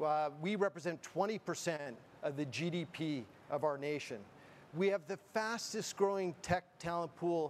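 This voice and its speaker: Speaking at a fairly slow pace with a Canadian accent, a man with a fairly high pitch shows ordinary pitch variation over light background noise. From Canada. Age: 50s. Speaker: board chair and moderator; moderator. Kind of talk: opening speech and fireside chat moderation. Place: studio. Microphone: podium.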